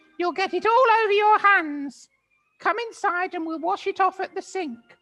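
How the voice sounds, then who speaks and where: In a put-on character voice, the speaker talks at a moderate pace with an extremely high, squeaky pitch over faint music in the background. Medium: read story.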